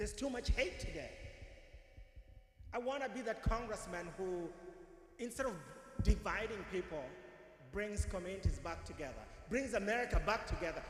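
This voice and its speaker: The speech moves at a moderate pace with lively intonation and long, frequent pauses. Audible room echo and noticeable background noise are present. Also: man, high pitch for a man. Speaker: political candidate. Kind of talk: campaign speech.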